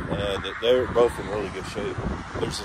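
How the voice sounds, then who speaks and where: A man speaks with a dry sound and no echo. Background noise is noticeable. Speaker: homestead vlogger. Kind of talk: casual vlog narration. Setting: outdoors. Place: street. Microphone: phone near.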